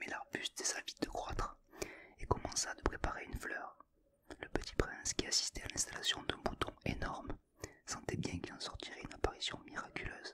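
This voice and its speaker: Whispering over noticeable background noise. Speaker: ASMR creator. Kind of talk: audiobook reading. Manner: slow, soothing.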